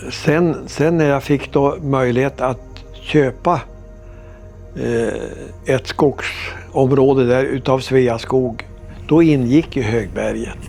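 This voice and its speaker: Over music in the background, a man speaks at a very slow pace with a medium pitch and ordinary pitch variation. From northern Sweden, Vännes. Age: 80s+. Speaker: farmer. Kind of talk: life story interview, reminiscing.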